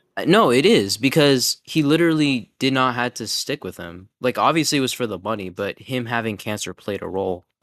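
A man's ordinary speaking voice, medium in pitch, dry and close with no echo, over a quiet background. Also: lively intonation, fairly quick pace. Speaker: podcast co-host. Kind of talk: casual chat.

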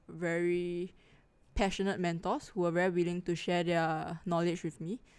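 A woman speaks in a fairly low pitch with a monotone, flat intonation. The recording is very clean, and the background is silent. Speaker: UX designer. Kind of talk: casual chat.

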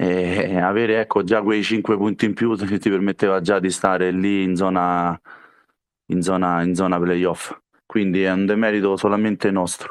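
A man with a very deep, low pitch, monotone, flat intonation, very even loudness, and a fairly slow pace against a quiet background. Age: 30s. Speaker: futsal player. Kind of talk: interview. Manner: halting.

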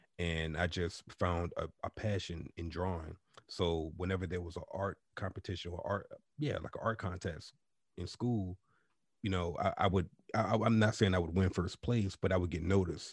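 The voice is somewhat breathy and moves at a moderate pace. The sound is dry and close with no echo, over a quiet background. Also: man, very deep, low pitch for a man. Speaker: podcast host. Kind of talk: casual chat. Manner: animated.

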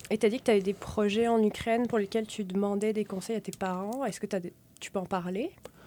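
A woman talks at a very fast pace with a medium pitch and a dark, mellow tone. Her intonation stays fairly even. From France and Quebec. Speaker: podcast host. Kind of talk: interview; scripted intro. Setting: studio.

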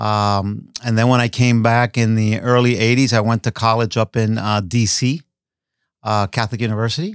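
On a very clean recording with a silent background, a man with an unremarkable speaking voice talks at a moderate pace and medium pitch, with very even loudness, fairly even intonation and a dry, close sound with no echo. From Miami, Florida (Cuban-born). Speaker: architect. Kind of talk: casual interview.

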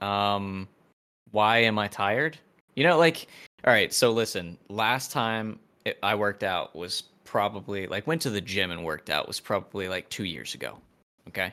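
A man with an unremarkable speaking voice, fairly low pitch, lively intonation, and moderate pace, on a very clean recording with a silent background. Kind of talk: casual chat.

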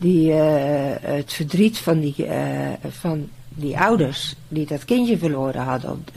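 A very slow delivery, pitch varying in an ordinary way, with noticeable background noise behind it. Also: woman. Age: 60s. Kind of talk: casual interview.

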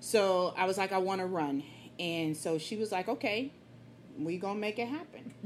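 In a normal speaking voice, the speaker uses lively intonation at a moderate pace. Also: woman, medium pitch for a woman. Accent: American. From Killeen, Texas. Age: 40s. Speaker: fitness enthusiast, mother. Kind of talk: casual podcast interview.

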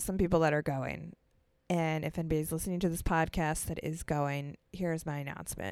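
An animated voice moves at a moderate pace on a very clean recording with a silent background. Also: woman. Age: 30s. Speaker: podcast host. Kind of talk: solo casual monologue.

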